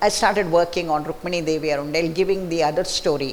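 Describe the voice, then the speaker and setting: A woman with a Marathi accent speaks at a fairly low pitch. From Mysore, southern India. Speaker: author. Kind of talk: book talk conversation. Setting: library event with audience.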